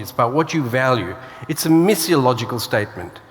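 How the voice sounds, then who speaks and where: A man speaks in a fairly high voice. Noticeable noise runs in the background. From Australia (born in South Africa). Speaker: author and church speaker. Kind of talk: conference keynote. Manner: hesitant, many fillers.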